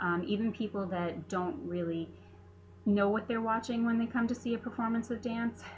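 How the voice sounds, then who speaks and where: Somewhat breathy and fairly high-pitched, a woman speaks with ordinary pitch variation and very even loudness. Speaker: veterinary technician. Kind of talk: class presentation. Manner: fast; hesitant fillers.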